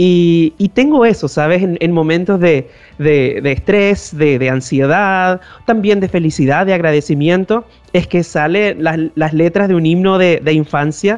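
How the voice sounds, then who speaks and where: At a fairly slow pace, a man talks in a high pitch with ordinary pitch variation and very even loudness. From northern Chile. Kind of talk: interview. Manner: halting, with frequent repetitions.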